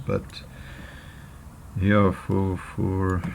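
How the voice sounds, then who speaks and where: Noticeable background noise surrounds a man speaking at a very deep, low pitch. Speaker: photo retoucher making tutorials. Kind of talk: tutorial. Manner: halting, many fillers. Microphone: poor audio quality.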